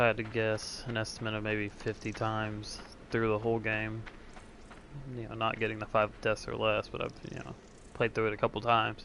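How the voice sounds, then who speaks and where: Quietly and at a fairly quick pace, a man speaks in a monotone, flat intonation. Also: fairly low pitch for a man. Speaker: gaming streamer. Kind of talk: gameplay commentary. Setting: at home early morning.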